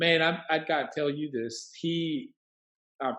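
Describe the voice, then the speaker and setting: A man speaks with a Colombian accent. His pace is fairly slow. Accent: Colombian Spanish accent, moderate. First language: Spanish. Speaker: worship leader and 3D animator. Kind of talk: casual interview. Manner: animated.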